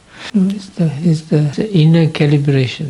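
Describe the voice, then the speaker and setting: A man with a fairly high pitch speaks at a moderate pace with ordinary pitch variation. Noticeable background noise runs underneath. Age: 60s. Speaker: Buddhist monk and meditation teacher. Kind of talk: dharma talk. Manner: halting.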